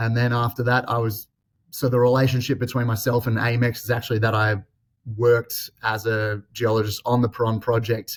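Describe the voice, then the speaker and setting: A man's somewhat breathy, medium-pitched voice with an Australian accent, fairly quick and in a monotone, flat delivery. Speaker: exploration geologist executive. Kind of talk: interview. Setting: office, remote call.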